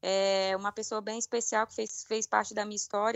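Her pitch is fairly high. The woman speaks at a fairly quick pace. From Brazil, Brasília. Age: 30s. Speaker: professional women's footballer. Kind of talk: interview.

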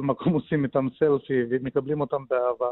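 A man talks in a normal speaking voice, pitched at a medium level. His intonation is fairly even. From Soviet Union. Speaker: deal broker. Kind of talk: radio interview.

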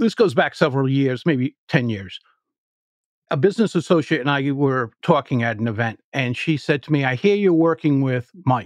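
Over a quiet background, a man with an American accent and a plain, everyday voice talks at a moderate pace in a fairly high pitch with lively intonation, the sound dry and close with no echo. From US Northeast, Providence, Rhode Island. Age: 60s. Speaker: public speaking coach. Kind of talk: podcast interview.

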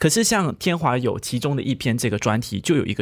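This man's pitch swings very wide, captured on a very clean recording with a silent background. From Malaysia. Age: 20s. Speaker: podcast co-host. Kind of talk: podcast discussion.

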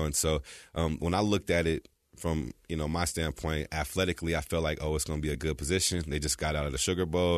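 A man with an American accent and a very deep, low pitch speaks very fast with vocal fry and fairly even intonation over a quiet background. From California. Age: 30s. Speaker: former college football player. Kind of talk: casual chat.

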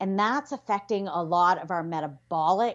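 With a Canadian accent, a woman talks at a moderate pace and a medium pitch in an ordinary speaking voice. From Canada. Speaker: physician and yoga therapist. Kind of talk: interview conversation.

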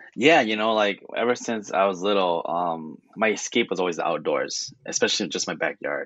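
A man with an unremarkable speaking voice, fairly low pitch, lively intonation, a moderate pace and hardly any pauses. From California, Hmong-American family. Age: young. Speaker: hunter and conservation volunteer. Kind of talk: radio interview.

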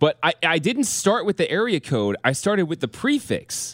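With an American accent and vocal fry, a man talks at a fairly quick pace, his pitch swinging very widely, in a very clean, dry, close recording with a silent background and no echo. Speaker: sports radio host. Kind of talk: casual sports talk.

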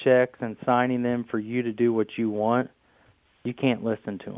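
Speaking with a Midwestern American accent, a man keeps a moderate pace at a medium pitch. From Indiana. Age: 30s. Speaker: farmer. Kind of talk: interview.

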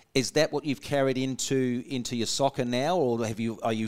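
Speaking at a moderate pace with fairly even intonation, a man with an Australian accent and a medium pitch comes through in a dry, close sound with no echo. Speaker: radio host. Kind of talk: casual radio interview.

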